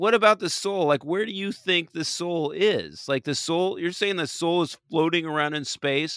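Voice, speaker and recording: A man with a Californian accent speaks at a high pitch and a moderate pace, with ordinary pitch variation. His tone is animated, and the sound is dry and close with no echo. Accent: Californian American. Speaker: podcast host. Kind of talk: casual comedic chat about TV episode. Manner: animated, joking.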